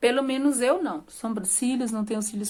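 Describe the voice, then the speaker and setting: A woman speaks. Her pitch varies in an ordinary way. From Brazil, rural Minas Gerais. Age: 30s. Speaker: vlogger. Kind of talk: personal life story to camera. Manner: casual, conversational.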